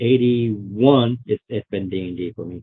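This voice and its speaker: With ordinary pitch variation, a man's speech moves fairly slowly. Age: 60s. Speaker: tabletop gamer. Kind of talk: casual chat. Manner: halting.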